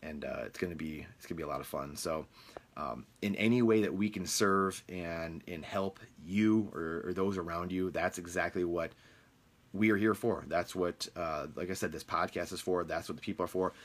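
Delivered at a moderate pace in a Midwestern US accent, the speech comes through on a very clean recording with a silent background. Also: man, very deep, low pitch for a man, ordinary pitch variation. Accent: US Midwest. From Michigan, US. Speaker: real estate podcast host. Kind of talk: casual monologue. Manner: halting with many fillers.

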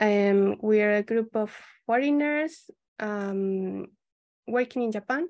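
A woman with a Spanish accent, very slow pace with long, frequent pauses, ordinary pitch variation, and a dry, close sound with no echo. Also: fairly high pitch for a woman. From Colombia. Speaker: civil engineer. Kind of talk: interview. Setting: video call.

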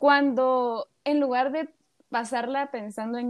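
A woman's high-pitched voice. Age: 20s. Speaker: psychology student. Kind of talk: casual chat.

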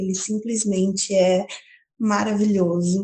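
A woman's voice at a medium pitch, with a very slow pace. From Paulínia, São Paulo state, Brazil. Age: 20s. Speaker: listener sending a voice message. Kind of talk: recorded book recommendation. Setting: recorded audio message.

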